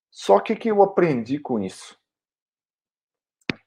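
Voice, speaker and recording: A man with a Minas Gerais accent speaks at a fairly slow pace in a high, dark, mellow voice. His pitch swings very widely. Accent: mineiro. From Minas Gerais, Brazil. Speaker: occupational hygienist and online instructor. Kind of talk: educational video talk. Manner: casual, conversational.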